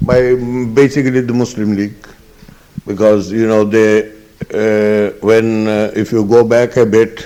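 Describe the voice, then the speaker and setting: A man talks in a monotone with flat intonation. His pace is fairly slow. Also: medium pitch for a man. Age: 70s. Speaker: eyewitness interviewee. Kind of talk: oral history interview. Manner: halting, many fillers.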